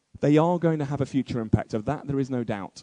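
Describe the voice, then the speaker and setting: With a British accent, a man speaks in a dark, mellow tone with ordinary pitch variation. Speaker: conference speaker. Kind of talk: keynote speech. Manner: fast.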